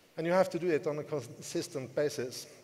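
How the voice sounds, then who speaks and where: A man speaks at a moderate pace in a fairly high pitch, with noticeable background noise. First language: not English. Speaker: network marketing leader. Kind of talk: motivational seminar talk. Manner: halting.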